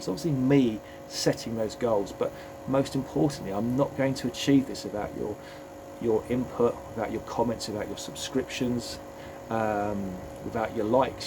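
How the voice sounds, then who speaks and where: A man with an English accent, heard with audible room echo and noticeable background noise. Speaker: fitness coach and vlogger. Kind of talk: motivational vlog talk. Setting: home gym. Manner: hesitant, repeats words.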